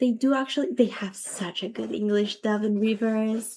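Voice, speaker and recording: With a non-native accent, a woman speaks at a fairly slow pace in a fairly high pitch and a dark, mellow tone. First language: not English. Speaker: gaming streamer. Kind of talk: livestream chat. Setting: livestream.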